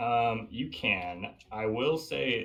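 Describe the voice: Lively intonation marks this plain reading aloud.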